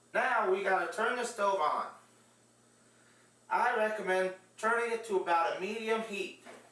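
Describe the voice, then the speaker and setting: Against noticeable background noise, a man projects a raised voice at a high pitch and moderate pace, keeping fairly even intonation and taking long, frequent pauses. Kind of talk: cooking demonstration.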